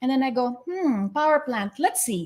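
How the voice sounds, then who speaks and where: In a very clean recording with a silent background, a woman speaks in an animated tone at a moderate pace with very wide pitch swings. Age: 50s. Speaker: podcast host. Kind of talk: interview.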